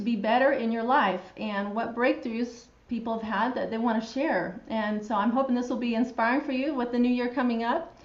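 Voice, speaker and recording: Audible room echo surrounds a woman with an American accent. She speaks at a fairly quick pace with high pitch and ordinary pitch variation. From Utah. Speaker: physical therapist and show host. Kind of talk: live show interview.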